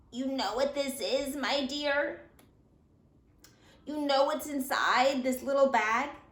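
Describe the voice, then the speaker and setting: Using a put-on character voice, a woman with a high pitch and a creaky sound speaks at a fairly slow pace in a monotone, flat intonation with long, frequent pauses. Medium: read story. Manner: whispering, conspiratorial.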